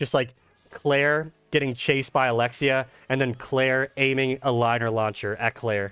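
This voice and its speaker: A man with a Philadelphia accent, animated and bright, sharp in tone, medium in pitch, at a moderate pace and very even loudness. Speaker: gaming YouTuber. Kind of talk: gameplay commentary. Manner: casual, animated.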